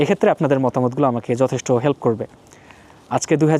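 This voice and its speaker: The voice belongs to a man and sits at a medium pitch. It is a normal speaking voice with ordinary pitch variation. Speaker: PhD graduate and video blogger. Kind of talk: informal explainer monologue. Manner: conversational, many pauses.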